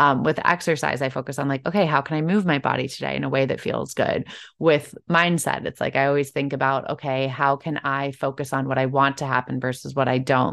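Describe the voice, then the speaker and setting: A woman with an American accent talks at a fairly quick pace with hardly any pauses, her pitch very deep and low. Vocal fry runs through her fairly even intonation against a quiet background. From Chicago. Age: 30s. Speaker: Pilates expert. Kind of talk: interview.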